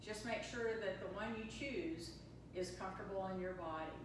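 A woman talks at a medium pitch with ordinary pitch variation, with audible room echo and noticeable background noise. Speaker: yoga and meditation teacher. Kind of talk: guided meditation. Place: hall. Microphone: camera far.

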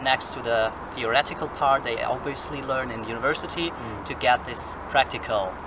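A man talks at a moderate pace, the sound dry with no echo and noticeable background noise behind him. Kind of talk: casual group talk. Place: forest.

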